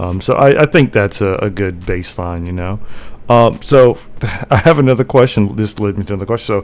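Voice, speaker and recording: The speaker has an ordinary speaking voice. The intonation is lively. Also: man. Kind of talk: casual interview host talk.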